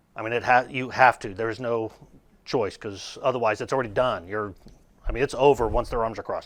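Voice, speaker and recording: A man at a medium pitch, speaking at a fairly quick pace. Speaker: sales trainer. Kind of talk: training presentation. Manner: animated, uses hands a lot.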